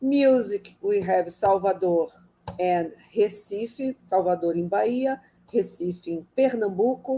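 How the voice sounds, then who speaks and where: A woman with a Brazilian Portuguese accent and a medium pitch. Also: ordinary pitch variation, fairly slow pace. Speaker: architect and urban planner. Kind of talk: lecture. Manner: halting.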